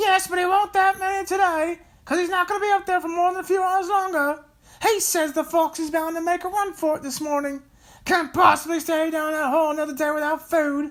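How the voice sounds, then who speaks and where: This is a put-on character voice at an extremely high pitch. It moves at a fairly quick pace. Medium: read story. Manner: impatient, bossy.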